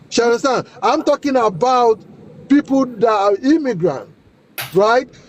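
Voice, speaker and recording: A man with a Nigerian accent at an extremely high pitch, with lively intonation, very even loudness, and a dry, close sound with no echo. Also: fairly slow pace. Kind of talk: heated debate. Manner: interrupting, insistent.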